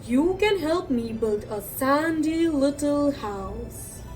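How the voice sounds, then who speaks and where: At a very slow pace, a woman uses a put-on character voice over clear music in the background. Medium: read story.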